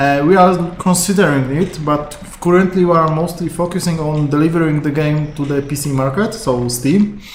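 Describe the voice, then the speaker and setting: With a Polish accent, the speaker moves at a moderate pace with hardly any pauses over noticeable background noise. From Poland. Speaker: game QA tester streaming. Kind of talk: live game stream commentary. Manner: halting, many fillers.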